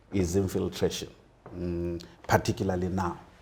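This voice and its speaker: The voice is somewhat breathy, with a dark, mellow tone and a moderate pace. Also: man. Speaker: politician and lawyer. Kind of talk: interview. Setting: hotel. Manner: halting.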